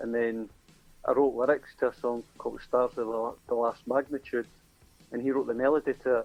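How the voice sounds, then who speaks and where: A man with a Scottish accent at a medium pitch, flat and monotone in delivery, moderately paced, with music in the background. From Scotland. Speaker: singer-songwriter. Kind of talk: interview.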